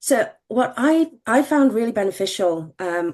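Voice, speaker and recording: With a British accent, a woman talks at a very slow pace and with lively intonation against a quiet background. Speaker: medtech regulatory executive. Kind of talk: panel discussion.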